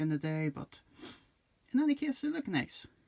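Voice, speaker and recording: A man talks quietly at a moderate pace in a dark, mellow tone. The sound is dry and close with no echo. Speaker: toy reviewer. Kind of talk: casual review talk to camera.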